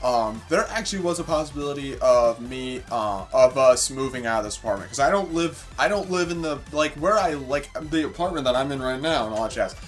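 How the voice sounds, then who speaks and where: The speech moves at a fairly quick pace with hardly any pauses and lively intonation. Music plays in the background. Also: man, fairly high pitch for a man. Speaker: gaming streamer. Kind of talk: casual gaming stream chat. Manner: loud; rambling with many fillers.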